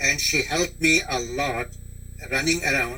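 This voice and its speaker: A man speaks at a fairly slow pace. Noticeable background noise and audible room echo surround him. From India. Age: 80s+. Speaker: grandfather interviewee. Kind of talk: oral history interview. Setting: teleconference.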